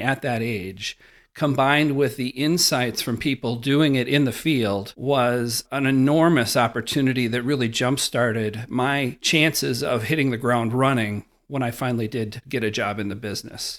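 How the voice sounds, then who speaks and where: A man with a normal speaking voice, medium pitch, fairly even intonation and moderate pace, hardly any pauses, on a very clean recording with a silent background. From Wisconsin, rural. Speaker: investment fund director. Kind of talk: interview.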